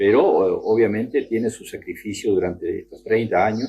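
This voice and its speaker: The speaker is a man. His pace is moderate. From Argentina, Entre Ríos. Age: 60s. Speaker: retired teacher and union member. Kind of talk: testimony. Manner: halting, many fillers.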